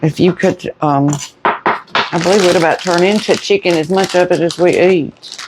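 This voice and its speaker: The speaker has an American accent and a flat, monotone delivery. Noticeable background noise runs underneath. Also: woman, fairly low pitch for a woman, very even loudness. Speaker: home cooking vlogger. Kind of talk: casual cooking chat. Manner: slow; starts loud, trails off quieter.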